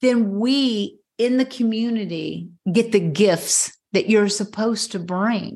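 Somewhat breathy and fairly high-pitched, a woman speaks very slowly with hardly any pauses and ordinary pitch variation. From Tennessee. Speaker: somatic movement therapist and confidence coach. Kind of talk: interview.

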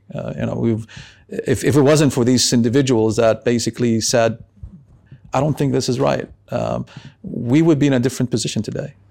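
A man's medium-pitched, dark, mellow voice with an Arabic accent, vocal fry, ordinary pitch variation and a fairly quick pace. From Lebanon and Yemeni family. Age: 50s. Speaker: tech investment advisor. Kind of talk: interview. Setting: in person in Amman. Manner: halting with many fillers.

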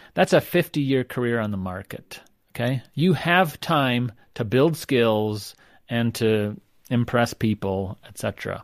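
In an ordinary speaking voice, a man at medium pitch talks at a fairly slow pace with lively intonation and big swings in loudness. The recording is very clean with a silent background, and the sound is dry and close with no echo. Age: 50s. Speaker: sociology professor. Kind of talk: interview.

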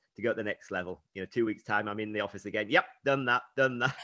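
An unremarkable speaking voice with fairly even intonation, in a dry, close sound with no echo and a quiet background. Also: man. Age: 60s. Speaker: triathlete and running coach. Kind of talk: casual chat.

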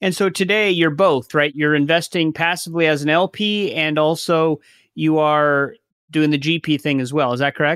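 A man with an unremarkable speaking voice and fairly high pitch talks at a moderate pace, with very even loudness and fairly even intonation. The recording is very clean with a silent background and a dry, close sound with no echo. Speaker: podcast host. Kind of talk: casual interview chat.

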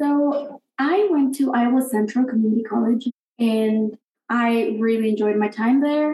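A woman with a Spanish accent, high-pitched with a dark, mellow tone, ordinary pitch variation, very even loudness and a fairly slow pace. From Guatemala. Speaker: college alumna and campus ministry volunteer. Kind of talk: casual interview, personal testimony.

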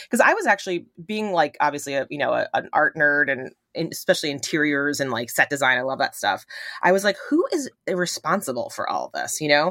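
An animated tone in an American accent moves at a fairly quick pace, with a dry, close sound and no echo. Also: woman. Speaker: small clothing brand owner. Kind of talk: casual chat. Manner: animated, many fillers.

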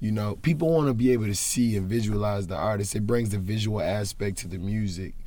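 A man with an American accent, a fairly low pitch and a dark, mellow tone, at a very fast pace with hardly any pauses and audible room echo. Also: ordinary pitch variation. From Charlotte, North Carolina. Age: 20s. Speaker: rapper. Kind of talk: interview.

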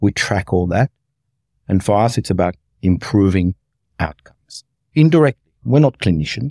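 A man with a fairly low pitch and a dark, mellow tone speaks at a moderate pace, his very wide pitch swings set off by long, frequent pauses in a dry, close sound with no echo. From Australia, rural Victoria (Mildura area). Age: 50s. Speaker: health tech executive. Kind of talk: interview conversation.

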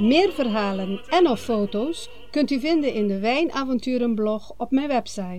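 Over music in the background, a woman's high-pitched voice with lively intonation. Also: moderate pace. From Aruba. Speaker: podcast host, wine seller. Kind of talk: scripted podcast announcement. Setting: at mother's home on Aruba. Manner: formal.

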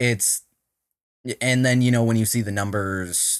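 With a Minnesotan accent, a man talks in fairly even intonation. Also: very clean recording, silent background. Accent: Minnesota. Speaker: tech startup co-founder and CTO. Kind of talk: casual interview.

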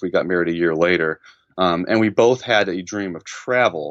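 This man talks at a moderate pace, his intonation lively. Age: 30s. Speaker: early retiree, former programmer. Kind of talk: interview. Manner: halting, frequent repetitions.

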